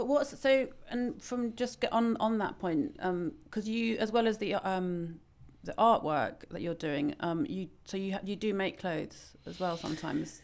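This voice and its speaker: A woman with an ordinary speaking voice speaks at a medium pitch with lively intonation. The recording is very clean, the background silent. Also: moderate pace. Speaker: podcast host. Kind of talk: interview conversation. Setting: recording in a townhouse.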